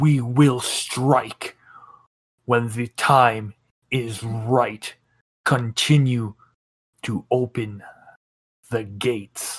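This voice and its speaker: Using a put-on character voice, a man talks at a very slow pace with medium pitch, fairly even intonation and long, frequent pauses, in a dry, close sound with no echo. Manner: cold, commanding, menacing.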